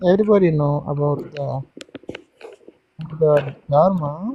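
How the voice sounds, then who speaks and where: A man with a non-native accent talks at a very slow pace. His pitch varies in an ordinary way. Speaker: Buddhist practitioner asking questions. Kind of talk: casual Q&A discussion. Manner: halting.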